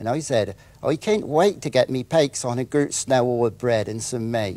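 In a West Country accent, a man speaks at medium pitch with a dark, mellow tone and lively intonation. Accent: West Country (Wessex). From Wiltshire, England. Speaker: author. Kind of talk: dialect reading. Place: studio.

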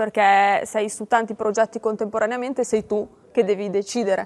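This woman has an unremarkable speaking voice, with a fairly high pitch, fairly even intonation and a moderate pace. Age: 20s. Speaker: startup marketing manager. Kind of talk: interview. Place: hall. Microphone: lapel.

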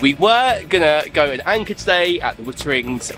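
Over clear background music, a man speaks at a moderate pace, the sound dry with no echo. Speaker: boat owner vlogger. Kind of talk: casual vlog chat. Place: boat.

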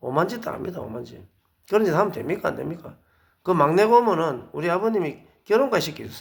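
A man talking at a fairly quick clip, his pitch swinging very widely, with audible echo from the room. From South Korea, Busan. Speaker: lecturer, ex-marine volunteer, wedding photographer. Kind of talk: monologue lecture. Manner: hesitant with frequent fillers; emphatic, indignant.

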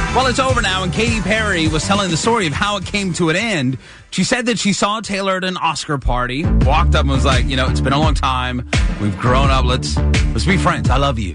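A man talks at a fairly quick pace in a dry sound with no echo, with loud music in the background. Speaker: radio DJ. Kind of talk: radio DJ talk break. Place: studio. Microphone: studio mic.

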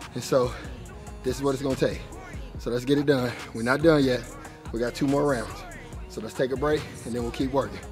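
With clear music in the background, a man talks at a very fast pace and with fairly even intonation. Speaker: fitness trainer. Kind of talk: workout coaching. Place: gym.

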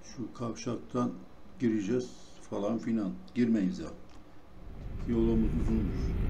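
Amid noticeable background noise and audible room echo, a man talks at a very slow pace with long, frequent pauses. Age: old. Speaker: gaming youtuber. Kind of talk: gameplay commentary. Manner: relaxed, chatty. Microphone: no proper microphone, may sound poor.

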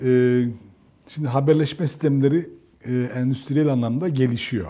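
A man's dark, mellow tone at a moderate pace, with fairly even intonation and long, frequent pauses. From Turkey. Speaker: tech program host; interview host. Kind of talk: interview. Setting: on location outside the studio. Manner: halting. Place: home room. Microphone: lapel.

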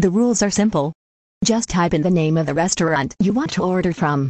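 A cartoonish character voice is delivered at a middle pitch. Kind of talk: announcer-style system greeting. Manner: mocking, bratty, smug.

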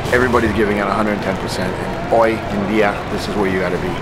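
A man speaks very fast while loud noise fills the background. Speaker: wrestling commentator, former wrestler. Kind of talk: promo trailer, commentary talk. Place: hall.

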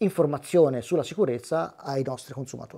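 This man's voice has a dark, mellow tone and ordinary pitch variation. The background is quiet. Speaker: motorcycle helmet technician. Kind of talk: interview. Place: shop. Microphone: lapel.

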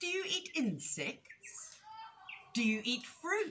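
A woman's put-on character voice, high-pitched and bright with a sharp tone, slow, with big pitch swings.

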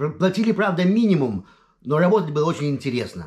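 A somewhat breathy man at a fairly quick pace, with very wide pitch swings against a quiet background. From Lithuania, Vilnius; Lithuania. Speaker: video blogger. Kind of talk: casual personal monologue. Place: home room. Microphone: webcam.

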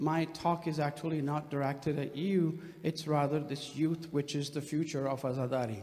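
His intonation holds fairly even. The man keeps to a moderate pace. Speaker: guest lecturer. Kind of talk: lecture. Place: hall. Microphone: podium.

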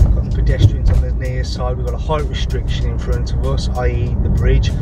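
Music plays in the background while a man speaks in a dry sound with no echo. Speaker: driving instructor. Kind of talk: tutorial. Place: car.

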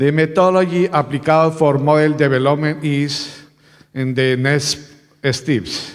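Against a quiet background, a man with a Colombian accent speaks at a fairly slow pace and fairly high pitch with fairly even intonation. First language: Spanish. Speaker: university researcher presenting at a conference. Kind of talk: conference presentation. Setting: conference stage with audience. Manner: halting. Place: hall. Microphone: podium.

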